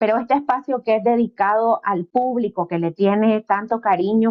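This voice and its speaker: Her voice is a plain, everyday voice, a woman's at a fairly high pitch. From Nicaragua, Caribbean coast. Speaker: interviewer. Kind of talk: interview.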